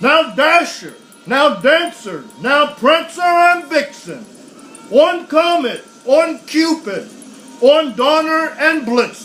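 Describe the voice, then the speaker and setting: A booming put-on character voice from a man at a very slow pace, with music in the background. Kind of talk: bedtime story. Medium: read story. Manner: jolly, hearty, with booming ho-ho laughs.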